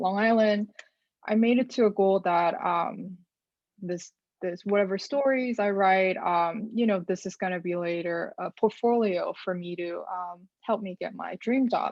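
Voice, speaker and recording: A woman of medium pitch with a Korean accent, fairly slow, with ordinary pitch variation. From South Korea. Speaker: data journalist. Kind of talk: interview answers to a youth group. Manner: hesitant, many fillers.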